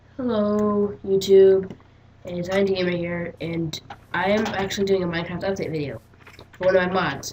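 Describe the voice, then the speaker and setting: A woman at a medium pitch, speaking at a moderate pace with fairly even intonation over noticeable background noise. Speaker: gaming youtuber. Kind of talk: gameplay tutorial commentary. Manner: casual, hesitant with fillers.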